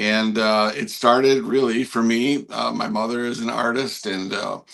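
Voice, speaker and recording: Here is a man with a Canadian accent and a normal speaking voice. He talks at a fairly slow pace, with medium pitch and fairly even intonation. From Canada. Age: 60s. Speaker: landscape artist. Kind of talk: interview.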